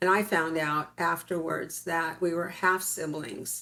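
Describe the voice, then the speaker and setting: A woman with an American accent speaks at a very slow pace, her pitch fairly low and her intonation fairly even. The recording is very clean with a silent background. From US West (California desert). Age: 60s. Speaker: interviewee, claimed alien hybrid. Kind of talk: interview, personal story.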